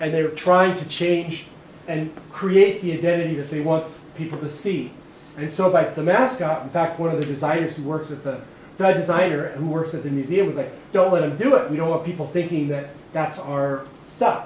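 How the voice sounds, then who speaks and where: There is noticeable background noise and audible room echo around this man's fairly high voice. He has an American accent and ordinary pitch variation. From Southern California. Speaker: art professor. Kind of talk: artist talk lecture. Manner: fast; casual, conversational.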